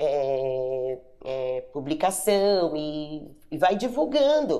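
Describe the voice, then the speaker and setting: The woman's dark, mellow voice swings very widely in pitch. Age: 50s. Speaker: pastor and online bazaar seller. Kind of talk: interview testimony.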